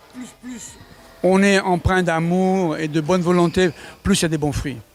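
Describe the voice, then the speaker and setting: High pitch and ordinary pitch variation from a man, at a moderate pace. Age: 70s. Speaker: sports federation president and fencing coach. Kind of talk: interview.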